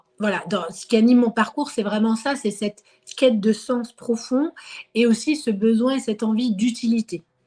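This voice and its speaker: Somewhat breathy, dark and mellow tone at a moderate pace with ordinary pitch variation. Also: woman, fairly high pitch for a woman. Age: 30s. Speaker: market gardener and former researcher. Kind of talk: interview. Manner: hesitant, many fillers.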